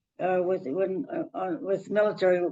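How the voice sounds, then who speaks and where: A woman's dark, mellow tone at a fairly slow pace. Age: 80s+. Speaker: WW2 veteran, retired first aid instructor. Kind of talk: interview answer. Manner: hesitant, halting.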